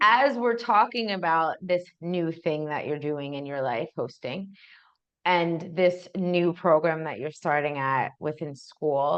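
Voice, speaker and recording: This is a woman with a plain, everyday voice. Her pitch is fairly low, her pace fairly slow and her intonation lively. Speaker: grief podcast interviewer. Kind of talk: podcast interview conversation. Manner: casual, warm.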